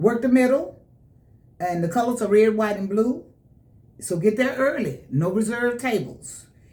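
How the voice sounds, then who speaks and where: A woman speaks at a fairly slow pace, somewhat breathy, with very wide pitch swings. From Memphis, Tennessee. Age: 70s. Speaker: soul blues singer. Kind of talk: radio interview. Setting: radio studio.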